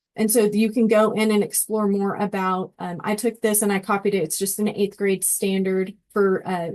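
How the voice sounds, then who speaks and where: At a moderate pace, a woman speaks in a normal speaking voice, her medium pitch carried with fairly even intonation. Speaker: education technology trainer. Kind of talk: tutorial presentation.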